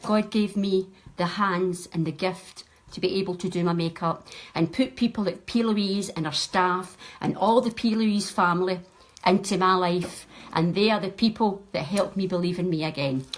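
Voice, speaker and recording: Speaking in a west of Scotland accent, a woman keeps a medium pitch, fairly even intonation and a moderate pace. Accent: Scottish (west of Scotland). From Scotland, Ayrshire. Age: 60s. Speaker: makeup artist. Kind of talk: makeup tutorial livestream. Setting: live video stream at home.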